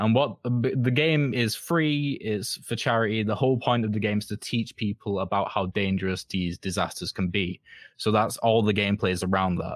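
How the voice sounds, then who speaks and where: Someone speaks with a Mancunian accent and ordinary pitch variation, the sound dry and close with no echo. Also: man, fairly low pitch for a man, moderate pace. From northern England, Manchester. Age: 20s. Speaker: game design student. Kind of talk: casual interview. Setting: remote call.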